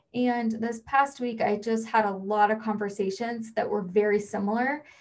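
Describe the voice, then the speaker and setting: A woman's somewhat breathy, fairly high voice at a moderate pace with monotone, flat intonation. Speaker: podcast host. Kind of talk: personal monologue.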